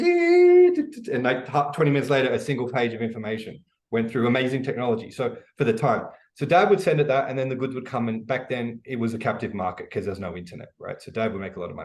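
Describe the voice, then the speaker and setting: Animated in tone, a man with an Australian accent talks very fast at medium pitch with ordinary pitch variation. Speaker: e-commerce educator, business founder. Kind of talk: interview. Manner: casual, animated with many fillers.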